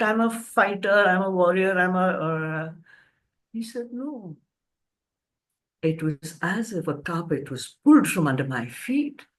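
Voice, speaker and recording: Here a woman speaks with an Indian accent at a fairly slow pace. Her pitch swings very widely. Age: 70s. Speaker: author and cancer counselor. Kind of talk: storytelling interview. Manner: animated.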